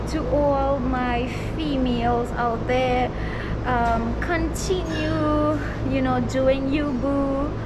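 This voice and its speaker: Loud background noise runs under speech delivered at a very slow pace. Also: woman. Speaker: guest vlogger. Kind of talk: casual vlog chat. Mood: upbeat, celebratory. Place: gym. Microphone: phone near.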